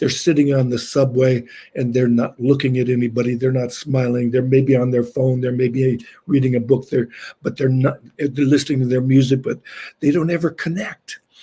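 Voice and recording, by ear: A man speaks at medium pitch and a moderate pace, with little pitch movement. His tone is dark and mellow with a slightly husky edge.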